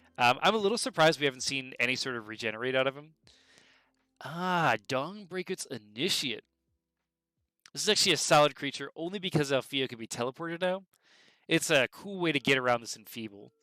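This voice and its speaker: Over music in the background, a man with a fairly high voice talks fairly quickly with lively intonation, big swings in loudness, and long, frequent pauses. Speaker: game commentator. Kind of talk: live commentary. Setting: livestream. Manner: fast; animated.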